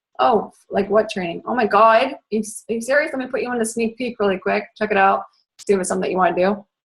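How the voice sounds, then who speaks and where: A woman's very fast, fairly high-pitched speech with vocal fry, ordinary pitch variation and an American accent. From Boston area. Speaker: fitness coach. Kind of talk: training talk. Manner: animated.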